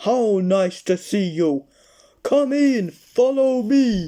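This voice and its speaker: This loud, put-on character voice sits at a fairly high pitch. The pace is very slow. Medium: read story. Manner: loud, jovial.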